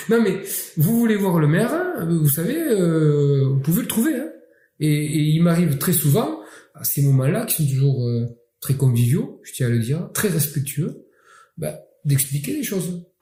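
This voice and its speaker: In a room with audible echo, a man with a dark, mellow tone and a fairly high pitch speaks fairly slowly with lively intonation and long, frequent pauses. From Catalonia, southern France. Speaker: mayor. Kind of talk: interview. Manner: hesitant with fillers.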